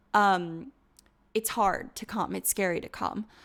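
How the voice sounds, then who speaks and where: Her pitch varies in an ordinary way as this woman speaks. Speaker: esports coach. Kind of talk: coaching session reviewing gameplay footage. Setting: screen-shared online session. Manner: fast.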